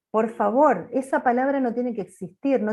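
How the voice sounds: A woman speaks loudly, her tone dark and mellow.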